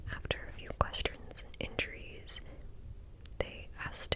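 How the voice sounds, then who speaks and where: A fairly slow whisper, with noticeable noise in the background. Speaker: ASMR creator. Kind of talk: read story. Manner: whispered.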